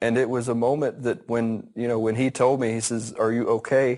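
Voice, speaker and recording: Over a quiet background, a man with an American accent talks at a fairly quick pace. His intonation is monotone and flat. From Southern United States. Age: 40s. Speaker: farmer. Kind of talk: interview answer.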